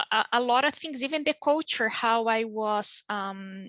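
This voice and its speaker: A woman with a Brazilian accent talks at a very slow pace in a fairly high pitch. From southern Brazil, small town. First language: Portuguese. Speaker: physician working in pharma. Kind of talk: panel interview.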